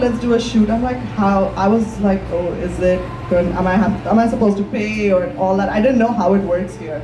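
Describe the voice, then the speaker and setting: Over noticeable background noise and audible room echo, a woman speaks at a fairly quick pace in a medium pitch with ordinary pitch variation. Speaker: fashion designer, entrepreneur. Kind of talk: panel discussion.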